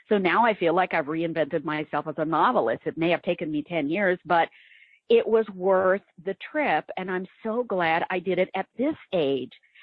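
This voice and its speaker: In a very clean recording with a silent background, a woman with a normal speaking voice talks at medium pitch and a moderate pace, her intonation lively and the sound dry and close with no echo. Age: 60s. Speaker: novelist. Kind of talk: interview.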